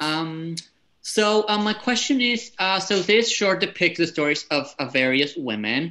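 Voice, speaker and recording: A man with a high pitch and a bright, sharp tone sounds enthusiastic, his intonation lively at a fairly slow pace. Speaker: film festival programmer moderating panel. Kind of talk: panel Q&A moderation. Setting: video call. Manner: friendly, enthusiastic. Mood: interested, friendly. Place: home room. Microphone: headset.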